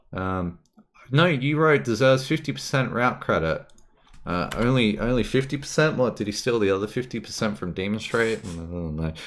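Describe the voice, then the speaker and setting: This man talks in an animated tone with an Australian accent. His pitch swings very widely. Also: medium pitch for a man, moderate pace. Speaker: gaming streamer. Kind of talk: live stream commentary. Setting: live stream. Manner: casual, animated.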